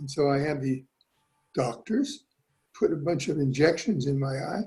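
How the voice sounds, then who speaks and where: There is music in the background as a man speaks at a fairly high pitch. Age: 80s+. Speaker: product testimonial giver. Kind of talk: testimony.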